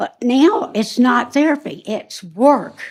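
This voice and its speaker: With a South Carolina accent, a woman speaks in a high pitch and lively intonation. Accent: US Southern (South Carolina). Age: 70s. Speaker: resident speaking at public comment. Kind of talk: public comment at council meeting. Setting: county council meeting. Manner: halting.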